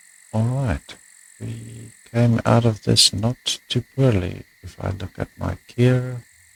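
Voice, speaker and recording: Music plays in the background. A man speaks at a very slow pace. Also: dry, close sound with no echo. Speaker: gaming video creator. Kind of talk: let's play commentary. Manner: quiet.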